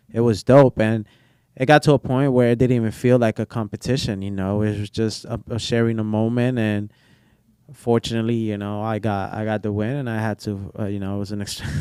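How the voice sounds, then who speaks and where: A man's dark, mellow tone with a slight Spanish accent, fairly even intonation, and a fairly quick pace. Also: medium pitch for a man. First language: Portuguese. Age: 20s. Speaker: barber. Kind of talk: casual chat.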